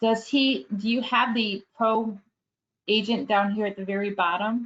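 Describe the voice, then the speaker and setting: An ordinary speaking voice, a woman's, fairly high in pitch, with fairly even intonation and a fairly slow pace. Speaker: real estate app trainer. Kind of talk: webinar tutorial. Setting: live webinar.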